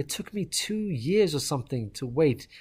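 A man speaks with lively intonation and a fairly high pitch for a man. His voice is somewhat breathy. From Ireland. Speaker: fundraising manager. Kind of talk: casual chat.

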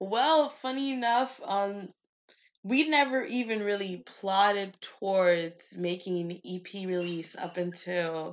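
With lively intonation, a woman speaks at medium pitch in an unremarkable speaking voice. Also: quiet background. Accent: American. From Miami, US (Haitian American). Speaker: singer-songwriter. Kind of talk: casual interview chat.

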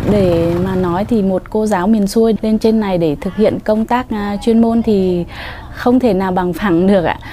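A woman speaks at a fairly slow pace and a medium pitch. Noticeable background noise is present. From northern Vietnam, Tuyên Quang. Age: 30s. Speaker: village school teacher. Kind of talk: interview testimony.

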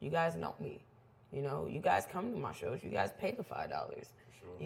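Animated in tone and somewhat breathy, a woman talks at a moderate pace in a very deep, low pitch. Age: 20s. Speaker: DJ and event organizer. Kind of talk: casual chat.

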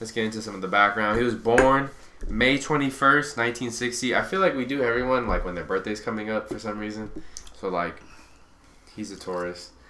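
A man with a normal speaking voice and medium pitch talks at a moderate pace, with ordinary pitch variation and big swings in loudness. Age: 20s. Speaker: true crime podcast host. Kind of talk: casual chat.

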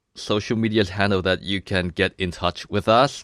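A man with a Thai accent speaks in a fairly low voice, with a dry, close sound, no echo, and a very clean recording against a silent background. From Thailand. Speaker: podcast host. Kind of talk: casual chat.

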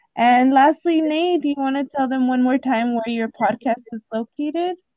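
A high-pitched woman's voice, dry and close with no echo. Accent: Spanish. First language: Spanish. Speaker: podcast host. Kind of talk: casual interview chat.

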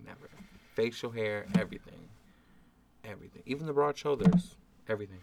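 Soft-spoken and fairly quick, a man with an American accent talks at a medium pitch, his pitch swinging very widely and his loudness shifting a lot, with long, frequent pauses. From New Orleans. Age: 20s. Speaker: podcast guest. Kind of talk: casual chat.

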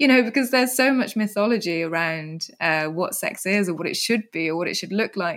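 A woman's medium-pitched voice, fairly quick and lively in intonation, over noticeable background noise. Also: hardly any pauses. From England (moved from the Netherlands at age eight). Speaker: writer and PhD researcher living with MS. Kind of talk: interview conversation.

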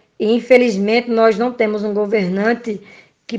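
A woman talks at a fairly high pitch in a monotone, flat intonation. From Brazil, Pernambuco backcountry. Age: 30s. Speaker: nursing technician. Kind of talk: interview. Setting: remote call.

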